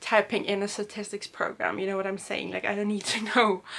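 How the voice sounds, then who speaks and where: A woman talks at a very fast pace in a monotone, flat intonation. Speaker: student vlogger. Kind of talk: casual vlog chat. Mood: reflective, slightly stressed recollection. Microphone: camera far.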